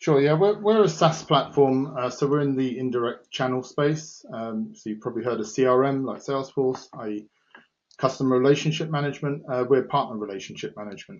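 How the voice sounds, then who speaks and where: This man speaks fairly briskly in a mid-range pitch, his pitch moving in a typical way. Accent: British. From UK. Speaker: head of professional services at a software company. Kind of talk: podcast interview. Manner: hesitant, many fillers.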